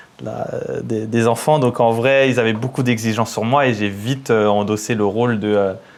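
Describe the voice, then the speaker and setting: A man with an unremarkable speaking voice talks at a moderate pace, medium pitch and fairly even intonation. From Paris suburbs, Seine-et-Marne. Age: 30s. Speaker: entrepreneur, engineer. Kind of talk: casual interview.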